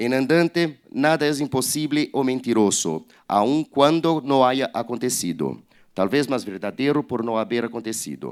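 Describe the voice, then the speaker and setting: The speaker has a Portuguese accent and ordinary pitch variation. The pace is fairly slow. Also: man. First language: Portuguese (speaking Spanish). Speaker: publisher. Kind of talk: reading aloud. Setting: online event livestream. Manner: halting.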